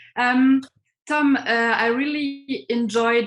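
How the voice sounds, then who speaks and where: A somewhat breathy woman with a German accent and ordinary pitch variation. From Germany. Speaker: professor and interviewer. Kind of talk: online interview. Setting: video call.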